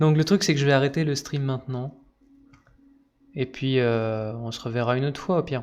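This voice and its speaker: A man of medium pitch speaks with fairly even intonation at a moderate pace. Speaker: gaming streamer. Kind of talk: live gameplay commentary. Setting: live stream. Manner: casual, hesitant with fillers.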